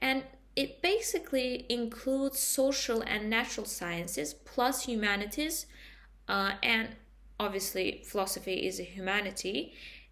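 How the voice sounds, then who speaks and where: A woman with a non-native accent speaks at a fairly high pitch in a bright, sharp tone. Her intonation is lively and her pace moderate. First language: not English. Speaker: student. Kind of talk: class presentation. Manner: halting.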